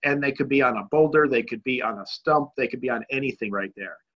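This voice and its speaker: An American-accented man speaks at a medium pitch with ordinary pitch variation. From US Northeast, Connecticut. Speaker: bass fishing pro. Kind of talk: webinar presentation. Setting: online webinar. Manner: fast.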